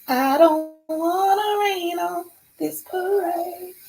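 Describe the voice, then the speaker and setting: A woman with an extremely high pitch speaks in an animated tone with lively intonation. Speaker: live streamer. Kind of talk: casual chat. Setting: live stream.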